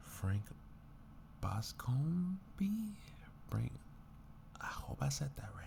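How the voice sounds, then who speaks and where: A man whispering at a very slow pace. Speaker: ASMR creator. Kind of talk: ASMR book blurb reading. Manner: soft-spoken.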